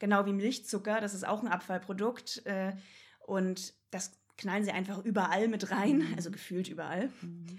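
A woman at medium pitch, somewhat breathy, with fairly even intonation and a moderate pace. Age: 20s. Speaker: vegan animal rights activist. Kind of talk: casual chat.

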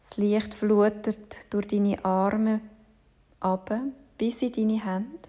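The speaker has a gentle tone and goes at a very slow pace, with long, frequent pauses. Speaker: yoga teacher. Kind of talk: guided meditation. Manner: slow, soft, calming; gentle, measured, with long pauses.

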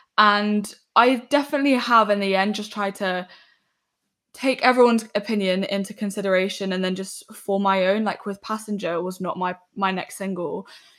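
A woman with a London accent and ordinary pitch variation, on a very clean recording with a silent background. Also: medium pitch for a woman, moderate pace. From West London. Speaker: singer-songwriter. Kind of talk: casual chat.

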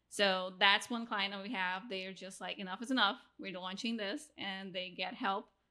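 Speaking in a Brazilian accent, a woman with a medium pitch talks at a moderate pace with hardly any pauses and a bright, sharp tone. Her intonation stays fairly even while her loudness swings widely. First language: Portuguese. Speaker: podcast agency founder. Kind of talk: casual interview.

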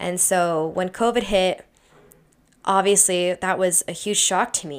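A woman with an American accent speaks at a moderate pace and medium pitch. The recording is very clean, with a silent background. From Utah, US. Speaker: podcast host, dancer. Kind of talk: solo podcast monologue.

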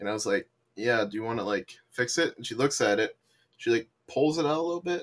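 A man has an unremarkable speaking voice with lively intonation. He talks at a fairly quick pace in a dry, close sound with no echo. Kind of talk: casual chat.

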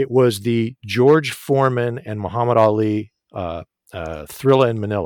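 A plain, everyday voice with an American accent moves at a moderate pace, showing ordinary pitch variation and big swings in loudness. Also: man, medium pitch for a man. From United States. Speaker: actor. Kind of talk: interview.

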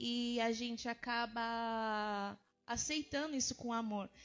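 The woman speaking has a fairly high pitch. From Brazil, São Paulo and interior Minas Gerais. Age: 30s. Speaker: pastor. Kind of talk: interview, faith testimony.

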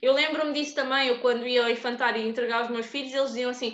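High-pitched woman with ordinary pitch variation, amid noticeable background noise. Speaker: podcast host. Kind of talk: casual chat.

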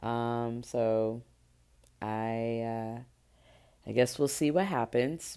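A woman's very deep, low voice, dark and mellow in tone, at a very slow pace with long, frequent pauses and ordinary pitch variation. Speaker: travel podcaster. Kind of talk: solo podcast monologue.

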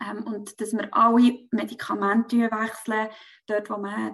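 A woman talks in a fairly high, monotone voice with flat intonation. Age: 30s. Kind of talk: personal testimony in interview.

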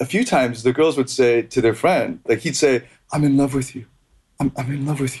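A man's somewhat breathy, fairly high voice, with fairly even intonation, a fairly quick pace and big swings in loudness. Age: 30s. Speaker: dating coach. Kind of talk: casual interview.

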